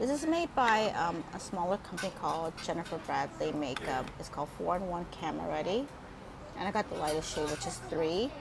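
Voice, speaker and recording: The speaker moves at a fairly quick pace. Noticeable background noise can be heard. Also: woman. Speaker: beauty vlogger. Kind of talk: makeup tutorial. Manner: low-energy.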